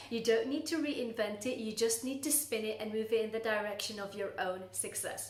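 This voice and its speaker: Speaking at a fairly quick pace with hardly any pauses, a woman with a fairly high pitch uses ordinary pitch variation, with audible room echo and noticeable background noise. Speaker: coach for burnt-out professionals. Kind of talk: talking-head advice video.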